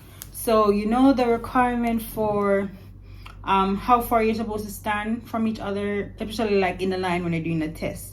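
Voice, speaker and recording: A woman talks at a medium pitch. Her voice carries audible room echo. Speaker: vlogger and English teacher abroad. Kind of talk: casual vlog monologue. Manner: animated.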